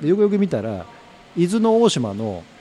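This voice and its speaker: Pitch that swings very widely, with noticeable noise in the background. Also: man. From Tokyo (Ogikubo). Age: 50s. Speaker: company president, curry restaurant founder. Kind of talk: interview, life story. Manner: casual, filler-heavy.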